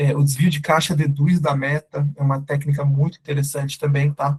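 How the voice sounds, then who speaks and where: The man's voice is somewhat breathy, with monotone, flat intonation. He keeps a moderate pace, and the sound is dry and close with no echo. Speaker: startup CEO and co-founder presenting a webinar. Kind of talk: webinar lecture. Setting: live online webinar with chat. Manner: casual, informal.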